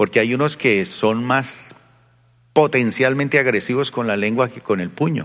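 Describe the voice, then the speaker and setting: At a fairly slow pace, a man with a medium-pitched voice speaks in an animated tone with ordinary pitch variation. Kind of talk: sermon. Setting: church with congregation. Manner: animated, rhetorical, question-and-answer style with congregation; colloquial, folksy, mixing humor with exhortation.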